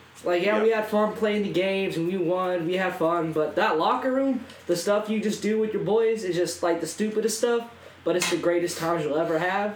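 The voice moves at a fairly quick pace with very even loudness. Noticeable background noise runs underneath. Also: man, high pitch for a man, ordinary pitch variation. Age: young. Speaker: professional wrestler. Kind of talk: casual chat.

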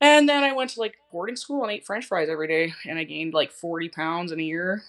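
A woman with a slight Canadian accent talks at a fairly quick pace, her fairly low pitch paired with a bright, sharp tone and lively intonation. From southern Saskatchewan, Canada. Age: 30s. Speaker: schoolteacher and fitness client. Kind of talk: interview, personal story.

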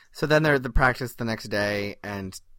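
A man speaks at a moderate pace and medium pitch with ordinary pitch variation and a bright, sharp tone, on a very clean recording with a silent background. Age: 30s. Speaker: podcast co-host. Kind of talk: casual chat.

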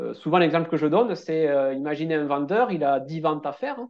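The pitch varies in an ordinary way over a quiet background. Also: man. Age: 30s. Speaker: relaxation therapist and stress coach. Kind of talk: interview.

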